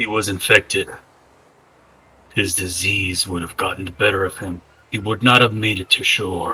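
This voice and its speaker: A raspy, fairly low put-on character voice from a man, broken by long, frequent pauses. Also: moderate pace. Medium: actual play. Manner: formal, measured.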